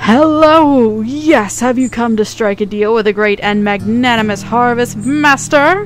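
A female-sounding, put-on character voice speaks at a fairly high pitch with a wheezy quality and a moderate pace. Clear background noise runs underneath. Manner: grandiose, boastful.

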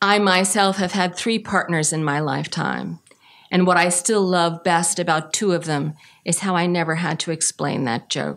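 A plain, everyday voice from a woman, rather low-pitched, moderately paced, with mostly level intonation. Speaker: poet. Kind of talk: poem reading. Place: hall. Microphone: podium.

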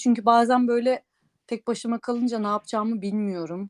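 The sound is dry and close, with no echo at all. The woman talks at a fairly quick pace. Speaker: podcast co-host. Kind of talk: casual chat. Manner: hesitant, many fillers.

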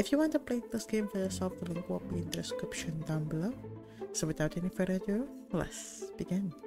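A soft-spoken woman at a medium pitch, with very wide pitch swings and a fairly quick pace, over music in the background. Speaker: gamer. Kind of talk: let's play commentary.

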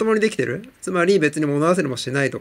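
A man at a very fast pace. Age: 40s. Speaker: TOEIC coach. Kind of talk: vlog monologue. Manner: hesitant, many fillers.

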